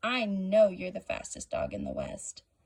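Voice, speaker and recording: A woman puts on a raspy character voice. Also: moderate pace. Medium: read story.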